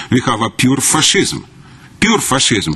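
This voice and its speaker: Over noticeable background noise, a man talks at a moderate pace in a medium pitch. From former Soviet Union. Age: 60s. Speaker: activist speaking at public comment. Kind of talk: public comment speech. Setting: county council meeting. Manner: animated.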